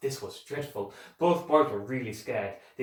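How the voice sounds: The natural reading voice carries lively intonation throughout.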